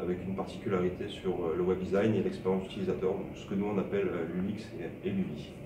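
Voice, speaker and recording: A man talks at a fairly quick pace in a flat monotone. Noticeable background noise and audible room echo are present. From southern France, Montpellier. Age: 30s. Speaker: web designer. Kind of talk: interview. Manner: hesitant, many fillers.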